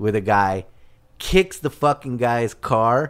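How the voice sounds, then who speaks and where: In a plain, everyday voice with an American accent, a man talks at medium pitch with ordinary pitch variation on a very clean recording against a silent background. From Southern California, South Bay (Torrance). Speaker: restaurant owner. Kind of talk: casual chat.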